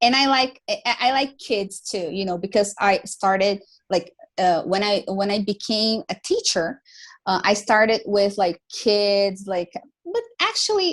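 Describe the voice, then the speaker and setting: Against a quiet background, a woman with an American accent speaks at a fairly slow pace and medium pitch, with ordinary pitch variation. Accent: almost American accent in English. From Brazil. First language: Portuguese. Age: 20s. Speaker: English teacher. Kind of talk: casual chat. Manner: talkative, many fillers.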